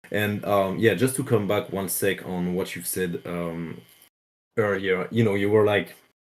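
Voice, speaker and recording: A man speaks at a fairly low pitch with fairly even intonation and long, frequent pauses, on a very clean recording with a silent background. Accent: French. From France. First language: French. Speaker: crypto project developer. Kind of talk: casual interview. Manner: halting, many fillers.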